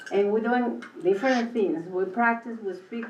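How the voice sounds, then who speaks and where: Speaking fairly slowly with a Mexican accent, a woman with a fairly high pitch is heard in audible room echo. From Mexico. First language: Spanish. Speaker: world language teacher. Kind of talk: committee meeting presentation. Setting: school board committee meeting. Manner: halting.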